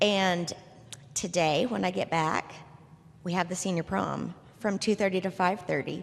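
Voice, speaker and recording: This woman has a medium pitch and some vocal fry. Her tone is animated and her pace moderate. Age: 60s. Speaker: retirement community resident. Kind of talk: panel discussion testimony. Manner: animated, conversational with fillers.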